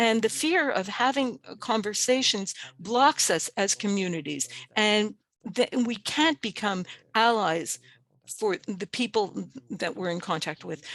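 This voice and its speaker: A woman with an unremarkable speaking voice, fairly high in pitch and lively in intonation, recorded with a dry, close sound, no echo and a quiet background. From Canada, Cree First Nation. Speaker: webinar presenter. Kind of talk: webinar presentation.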